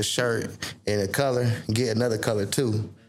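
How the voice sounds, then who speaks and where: Over noticeable background noise and audible room echo, a man talks at medium pitch with ordinary pitch variation. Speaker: podcast host. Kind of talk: casual chat. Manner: freestyle, animated.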